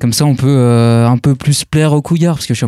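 Recorded dry and close with no echo, a man speaks very fast at a medium pitch with a dark, mellow tone. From France. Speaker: rock guitarist. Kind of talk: casual radio interview.

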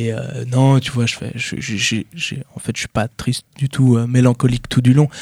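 A man's medium-pitched voice, monotone and flat, at a fairly slow pace, in a very clean recording with a silent background and a dry, close sound with no echo. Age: 20s. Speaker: rapper. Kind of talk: radio interview. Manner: halting.

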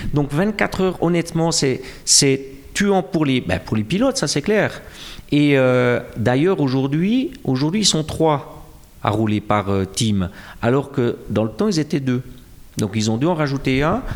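A man with a Jura Swiss accent and a fairly high pitch, with very wide pitch swings, a fairly slow pace, long, frequent pauses and very even loudness. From Switzerland, Jura. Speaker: comic book author. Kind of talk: interview. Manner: halting, many repetitions and fillers.

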